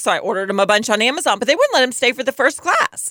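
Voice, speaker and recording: A woman's high voice at a very fast pace, dry and close with no echo, over noticeable background noise. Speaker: podcast co-host. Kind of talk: casual chat.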